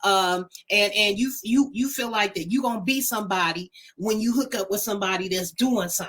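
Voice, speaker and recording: With an ordinary speaking voice, a woman talks at a fairly quick pace, her pitch medium and its variation ordinary. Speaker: talk show co-host. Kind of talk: casual chat.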